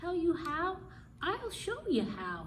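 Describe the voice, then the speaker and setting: A woman puts on a character voice, squeaky and extremely high. Background noise is clearly heard. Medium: read story. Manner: knowing, mildly mysterious.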